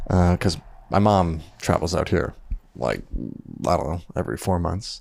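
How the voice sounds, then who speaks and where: In a very deep, low voice with vocal fry, a man with a Canadian accent is heard on a very clean recording against a silent background. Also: ordinary pitch variation, moderate pace. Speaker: videographer. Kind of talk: personal vlog diary. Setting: at home at night. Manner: soft-spoken.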